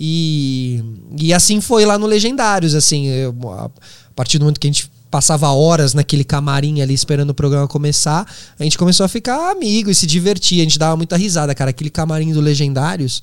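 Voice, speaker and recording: On a very clean recording with a silent background, a plain, everyday voice talks fairly quickly, its pitch varying in an ordinary way. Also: man, fairly high pitch for a man. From São Paulo, Brazil. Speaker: podcast host and former TV reporter. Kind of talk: casual interview conversation.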